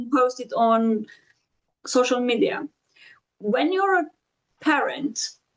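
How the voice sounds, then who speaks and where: A woman in a Romanian accent, high-pitched, at a very slow pace, with long, frequent pauses and lively intonation. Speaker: podcast host. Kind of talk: interview.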